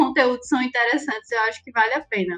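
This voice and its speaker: A woman with a Recife accent and ordinary pitch variation. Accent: Recife (Pernambuco). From Recife, Pernambuco, Brazil. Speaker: project manager at an advertising agency. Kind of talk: podcast interview.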